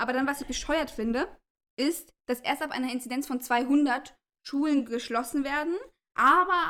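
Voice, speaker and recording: Her raised, projected voice is high-pitched with a bright, sharp tone, ordinary pitch variation and a moderate pace. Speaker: podcast co-host. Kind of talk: casual chat.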